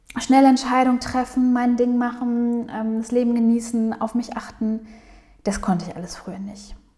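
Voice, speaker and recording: Over noticeable background noise, a woman talks at a fairly slow pace in a high-pitched voice. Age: 30s. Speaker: psychologist and podcast host. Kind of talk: casual monologue.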